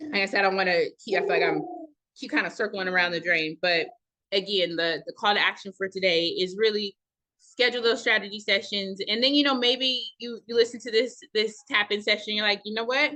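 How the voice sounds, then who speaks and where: At a fairly quick pace, a woman speaks with a fairly high pitch. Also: ordinary pitch variation. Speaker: organization founder hosting a members' session. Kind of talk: virtual members session talk. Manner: fast.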